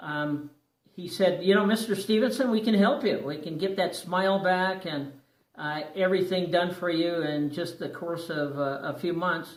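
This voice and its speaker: Through audible room echo, a man speaks at a moderate pace in a high pitch with ordinary pitch variation. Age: 60s. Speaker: dental patient sharing experience. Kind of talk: personal testimony. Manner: hesitant, many fillers.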